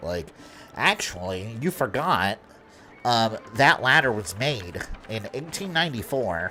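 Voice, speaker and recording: Using a nasal, put-on character voice, a man speaks at a medium pitch and a fairly slow pace over clear background noise. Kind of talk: exaggerated nerd voice.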